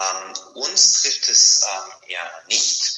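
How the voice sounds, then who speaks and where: A man at a very slow pace, with audible room echo. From Bulgaria. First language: Bulgarian (speaking German). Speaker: internet policy advocate. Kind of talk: interview.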